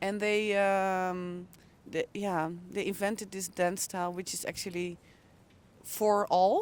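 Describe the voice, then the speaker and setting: With a Dutch accent, a woman talks at a medium pitch in a flat monotone, fairly slowly, leaving long, frequent pauses. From Netherlands, Hoofddorp near Amsterdam. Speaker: intercultural coach. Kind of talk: casual chat. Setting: outdoors.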